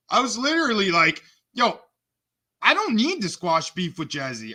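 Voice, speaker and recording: The voice is raised and projected, with a bright, sharp, animated tone. It moves at a moderate pace. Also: man. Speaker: streamer doing re-stream commentary. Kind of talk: heated argument and commentary. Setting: online live stream. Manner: loud. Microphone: close to the mic.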